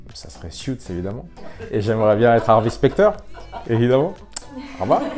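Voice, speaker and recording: Lively intonation at a fairly quick pace, with big swings in loudness and music in the background. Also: man, medium pitch for a man. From France, Paris. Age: 30s. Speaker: lawyer. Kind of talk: interview. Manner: hesitant, with filler sounds.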